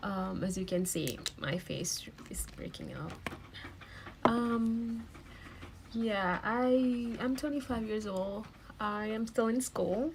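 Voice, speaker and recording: Amid noticeable background noise, a woman with a fairly high pitch and ordinary pitch variation speaks at a very slow pace with long, frequent pauses. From Malaysia. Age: 20s. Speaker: beauty vlogger. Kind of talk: makeup tutorial. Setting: at home. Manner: casual, hesitant with fillers.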